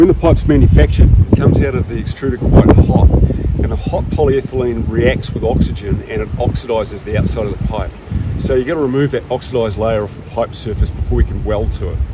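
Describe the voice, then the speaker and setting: Very fast speech, dry with no echo, under loud background noise. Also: man. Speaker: pipe welding trainer. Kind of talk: tutorial. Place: street.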